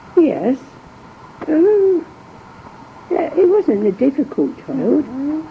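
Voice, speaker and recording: A woman's high voice at a very slow pace, with very wide pitch swings, long, frequent pauses and noticeable background noise. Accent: East Midlands. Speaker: war-time wife and mother. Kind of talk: interview answer.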